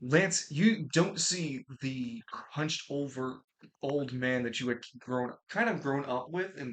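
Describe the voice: The clip is plain reading aloud. Pitch varies by an ordinary amount.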